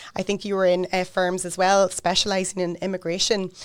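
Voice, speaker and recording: A woman with a Northern Irish accent speaks at a medium pitch. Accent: Newry. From Northern Ireland, Newry. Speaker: podcast host, lawyer. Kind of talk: podcast interview.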